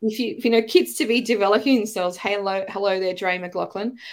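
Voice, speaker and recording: Fairly quick speech in an Australian accent. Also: woman, very clean recording, silent background. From Australia, Melbourne. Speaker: teacher and educator. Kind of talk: casual interview chat.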